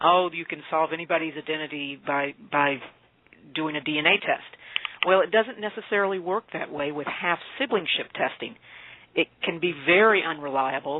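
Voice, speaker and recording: Against noticeable background noise, a woman with an American accent speaks at a moderate pace in a fairly low pitch with ordinary pitch variation. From Appalachia, US. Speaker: author. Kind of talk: interview. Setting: radio interview.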